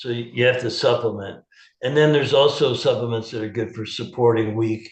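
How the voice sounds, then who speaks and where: A man's medium-pitched voice with vocal fry, at a fairly quick pace, with audible room echo. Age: 70s. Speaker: holistic health practitioner. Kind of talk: interview. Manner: animated.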